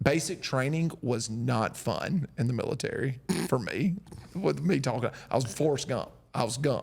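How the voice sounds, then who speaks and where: Man with a strong Southern US accent, somewhat breathy, at medium pitch with ordinary pitch variation. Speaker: podcast host, military veteran. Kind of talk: casual chat. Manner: slow.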